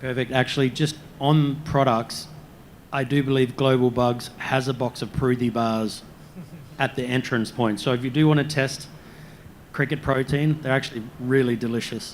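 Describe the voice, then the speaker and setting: Speaking at a moderate pace in an Australian accent, a man keeps his medium-pitched voice fairly even in intonation. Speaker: panel moderator. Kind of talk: panel discussion.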